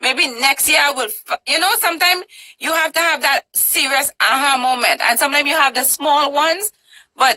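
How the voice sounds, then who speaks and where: In a raised, projected voice, a woman with a high pitch and a bright, sharp, animated tone speaks, the sound dry and close with no echo. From Trinidad and Tobago. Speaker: talk show host, interviewee. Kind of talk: interview.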